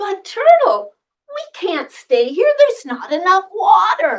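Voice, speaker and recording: A put-on character voice moves at a fairly slow pace, with very wide pitch swings and big swings in loudness. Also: woman, extremely high pitch for a woman. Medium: stage play.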